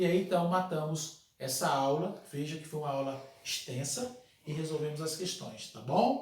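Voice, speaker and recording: A man speaks amid noticeable background noise. Audible room echo is also present. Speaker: law teacher. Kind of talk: lecture. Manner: fast.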